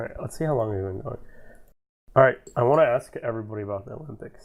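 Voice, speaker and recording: Pitch varies in an ordinary way, and the voice sounds somewhat breathy. It is a very clean recording against a silent background. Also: man. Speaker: podcast host. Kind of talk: casual chat. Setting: voice chat call. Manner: halting.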